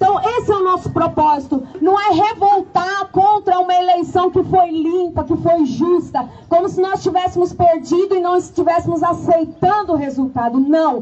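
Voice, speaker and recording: Her pitch is extremely high, and this woman shows ordinary pitch variation with very even loudness. She talks at a moderate pace with hardly any pauses. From Brazil, Olímpia, São Paulo state. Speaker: lawyer, federal attorney. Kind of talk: political speech at a street protest. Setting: outdoors. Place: street.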